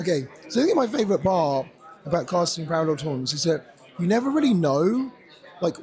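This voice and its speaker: A man's high voice with an English accent, over noticeable background noise. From England. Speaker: esports caster. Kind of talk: casual interview.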